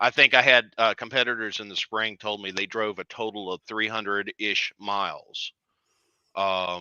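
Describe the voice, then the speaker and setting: The speaker has a Southern US accent and a moderate pace. Intonation is fairly even, while loudness swings a lot. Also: man, fairly low pitch for a man. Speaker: drag racing event organizer. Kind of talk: casual interview chat.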